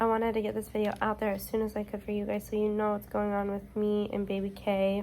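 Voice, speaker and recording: The speaker is a woman whose pitch sits fairly high. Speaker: vlogger. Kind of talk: video diary. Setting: hospital bed.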